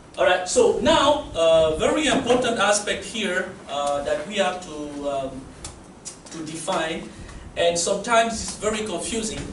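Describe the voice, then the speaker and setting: Amid noticeable background noise and audible room echo, a man with a high voice talks at a fairly slow pace, his pitch swinging very widely. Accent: French. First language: French. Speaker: university lecturer. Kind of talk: lecture.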